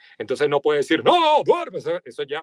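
A man with a Venezuelan accent talks at a very fast pace, the sound dry with no echo and the background quiet. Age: 40s. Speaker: voice-over artist. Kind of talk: interview. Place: studio. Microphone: studio mic.

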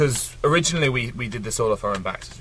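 A man rattles off words at a very fast pace while noticeable background noise carries on. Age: 20s. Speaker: record-breaking traveller. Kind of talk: interview.

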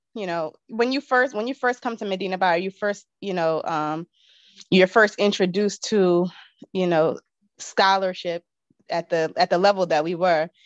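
Here a woman speaks at a moderate pace with ordinary pitch variation. The sound is dry with no echo, and the background is quiet. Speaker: guest. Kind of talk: casual chat. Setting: video call. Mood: warm, reflective reminiscing. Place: home room. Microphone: video call.

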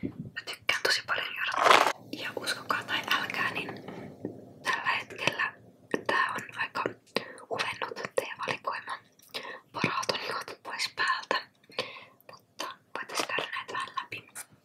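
Whispered speech in a relaxed tone moves at a very slow pace, broken by long, frequent pauses. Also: woman. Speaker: ASMR creator. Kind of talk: ASMR tea collection showcase. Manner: whispered, close-up, relaxed. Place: home room. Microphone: studio mic.

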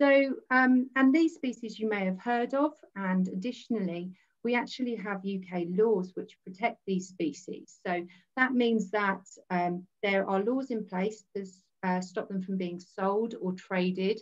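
A woman speaks at a fairly slow pace with ordinary pitch variation, the background quiet. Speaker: presenter. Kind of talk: lecture. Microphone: video call.

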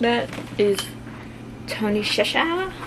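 A fairly high-pitched woman at a very slow pace, with faint background noise.

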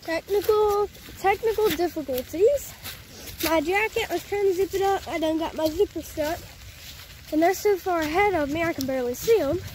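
Light background noise sits under a dry sound that has no echo. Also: moderate pace. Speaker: family vlogger filming. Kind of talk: casual vlog chat. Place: forest. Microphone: phone near.

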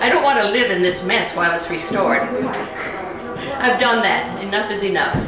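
Speaking with an American accent and hardly any pauses, a woman is heard amid noticeable background noise and audible room echo. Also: moderate pace. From United States. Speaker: retired music professor. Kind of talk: interview answer. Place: home room. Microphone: camera far.

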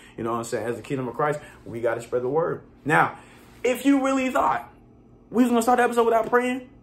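Talking at a very fast pace, a man with a high pitch moves through very wide pitch swings. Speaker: solo podcast host. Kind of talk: casual podcast talk, then spoken prayer. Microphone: phone near.

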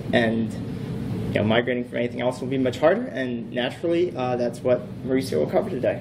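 Against noticeable background noise, a man speaks at a very fast pace. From US, Boston. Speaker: conference speaker, web developer. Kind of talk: technical talk. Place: hall.

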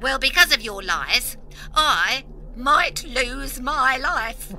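A woman's high voice at a very slow pace, with clear background noise. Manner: indignant, accusing.

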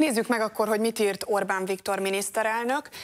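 Against a quiet background, a woman speaks in a monotone, flat intonation. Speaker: TV news host. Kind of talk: TV panel moderation. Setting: studio. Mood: serious, calm. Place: studio.

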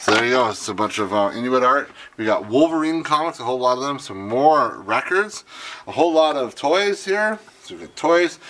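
A man speaks at a moderate pace. His tone is fairly bright. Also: medium pitch for a man, ordinary pitch variation.

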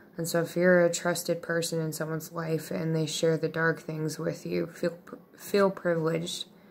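Music plays in the background as a woman speaks at a moderate pace in a fairly low pitch. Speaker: vlogger. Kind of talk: casual vlog chat. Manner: slow, drowsy late-night voice. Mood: earnest, reflective. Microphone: phone near.

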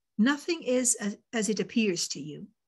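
Over a quiet background, a woman talks at a fairly slow pace in a somewhat breathy voice with ordinary pitch variation. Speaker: volunteer discussion facilitator. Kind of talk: facilitated group discussion. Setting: video call. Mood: calm, measured. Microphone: video call.

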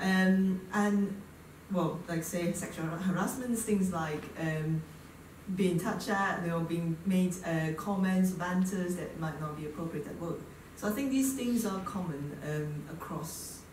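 Fairly low female voice at a fairly slow pace, with audible room echo and light background noise. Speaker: engineer. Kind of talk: panel discussion. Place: hall.

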